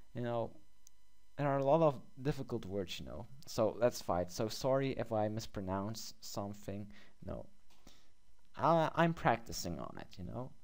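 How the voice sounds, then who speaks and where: At a moderate pace, someone with a non-native accent speaks with lively intonation and big swings in loudness. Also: man, medium pitch for a man. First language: not English. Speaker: gaming youtuber. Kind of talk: gameplay commentary. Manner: hesitant with fillers; reads game text aloud.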